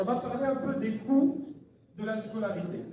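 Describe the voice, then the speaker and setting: A man's pitch varies in an ordinary way, with noticeable background noise and audible room echo around him. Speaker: academic orientation advisor for study abroad. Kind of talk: presentation to students. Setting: live event with student audience, no microphone. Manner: loud.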